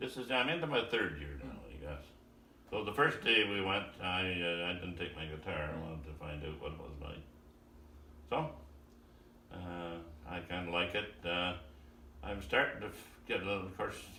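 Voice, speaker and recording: Someone speaks with lively intonation at a moderate pace, leaving long, frequent pauses over noticeable background noise. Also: man, very deep, low pitch for a man. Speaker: retired farmer and amateur guitarist. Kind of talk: casual conversation with a relative, filmed at home.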